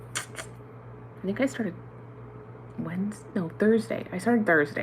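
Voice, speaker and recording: Loud and very slow, a woman speaks with very wide pitch swings. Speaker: reborn doll artist and mother. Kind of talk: livestream chat.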